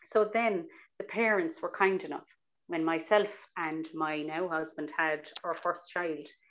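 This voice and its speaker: Speaking with a Cork accent, a woman uses a fairly low pitch and fairly even intonation at a fairly slow pace. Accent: Irish (Cork). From Ireland, Cork City; Ireland. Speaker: novelist; interviewee. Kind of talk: interview with reading aloud. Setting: video call. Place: home room. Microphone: earbuds.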